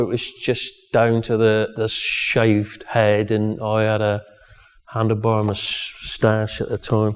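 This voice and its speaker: A man with a West Country accent and a medium pitch speaks at a very slow pace. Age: 60s. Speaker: gym owner and strongman. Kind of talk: documentary interview. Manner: halting.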